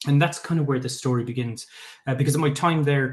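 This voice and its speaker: A man with a fairly high, somewhat breathy voice speaks with fairly even intonation. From Ireland, Limerick. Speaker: tech founder. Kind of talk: pitch talk. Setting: live online event. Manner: hesitant, many fillers.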